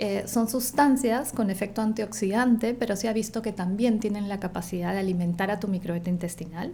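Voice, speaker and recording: A dark, mellow, somewhat breathy voice at a fairly quick pace with hardly any pauses and ordinary pitch variation. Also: woman, medium pitch for a woman. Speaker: nutritionist. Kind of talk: interview. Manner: fast.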